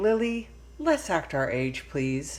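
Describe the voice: A put-on character voice at a slow pace, full of big pitch swings. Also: woman, low pitch for a woman.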